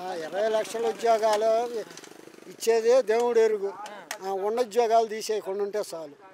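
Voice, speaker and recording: A man with a high voice and fairly even intonation speaks with big swings in loudness over noticeable background noise. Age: old. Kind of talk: street interview answer.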